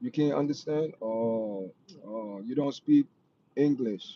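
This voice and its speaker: A man in a Jamaican accent with medium pitch, ordinary pitch variation, a dark, mellow tone and a fairly slow pace. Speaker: live stream host. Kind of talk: casual chat. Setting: live stream.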